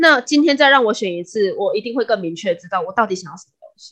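A woman at a very fast pace, her pitch swinging very widely. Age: 20s. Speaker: podcast co-host. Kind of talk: casual chat. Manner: talkative.

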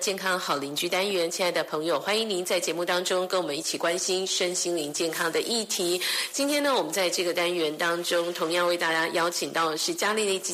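A woman with a fairly low voice talks at a fairly quick pace with hardly any pauses, ordinary pitch variation and very even loudness, over noticeable background noise and audible room echo. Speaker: radio host. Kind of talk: radio interview.

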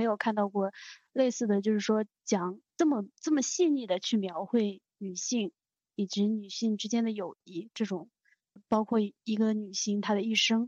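A woman with an ordinary speaking voice, fairly high pitch, moderate pace and ordinary pitch variation. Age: young. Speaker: podcast co-host. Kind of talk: casual chat.

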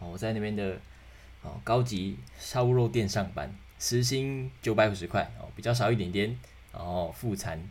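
This man's voice sits fairly low and is somewhat breathy. Audible echo from the room surrounds it. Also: lively intonation, moderate pace. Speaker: podcast host. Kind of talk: solo podcast monologue. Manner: casual, many fillers.

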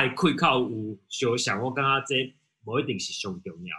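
The tone is bright and sharp. Delivery comes at a fairly slow pace. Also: man. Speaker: rock band member. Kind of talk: interview. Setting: video call.

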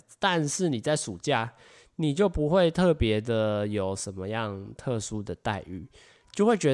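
At a fairly slow pace, a man speaks at a medium pitch with lively intonation. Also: very clean recording, silent background. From Taiwan. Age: 20s. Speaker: podcast host. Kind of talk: solo podcast monologue. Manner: animated.

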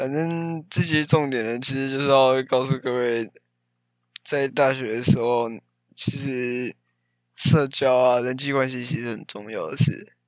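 In a normal speaking voice, a man of medium pitch talks at a fairly slow pace with fairly even intonation. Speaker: podcast co-host, engineering student. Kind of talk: casual chat.

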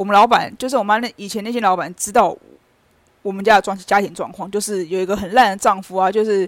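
A normal speaking voice from a woman, medium in pitch, at a fairly quick pace in a very clean recording with a silent background. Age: 30s. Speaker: podcaster. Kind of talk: personal monologue. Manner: casual.

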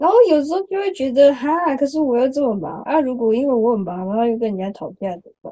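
A dark, mellow voice with big shifts in loudness, very wide pitch swings, a very fast pace and hardly any pauses. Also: woman, high pitch for a woman. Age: 20s. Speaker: podcast guest. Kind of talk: casual chat.

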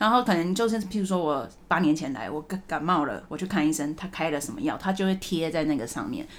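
A woman's fairly low voice at a very fast pace, lively in intonation, with hardly any pauses. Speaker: podcast host. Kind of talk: casual chat. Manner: animated.

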